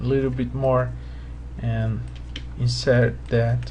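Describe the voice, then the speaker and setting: Someone speaks at a very slow pace in a Portuguese accent, with noticeable background noise. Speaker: 3D modeling tutor. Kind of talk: tutorial. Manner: halting.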